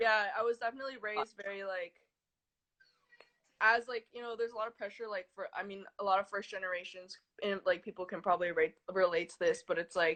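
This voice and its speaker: The speaker has a Californian accent and a fairly quick pace. Loudness swings widely while the intonation stays fairly even. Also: woman, medium pitch for a woman. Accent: Californian American English. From US West Coast, San Francisco Bay Area (Fremont). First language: Chinese. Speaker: artist. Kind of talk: interview.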